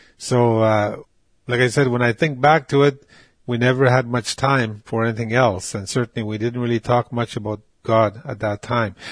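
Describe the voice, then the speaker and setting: A man at medium pitch and moderate pace, with fairly even intonation, in a dry, close sound with no echo against a quiet background. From northern Quebec and Ontario, James Bay Cree. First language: Cree. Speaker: residential school survivor. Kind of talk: personal testimony. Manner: halting, with frequent fillers and repetitions.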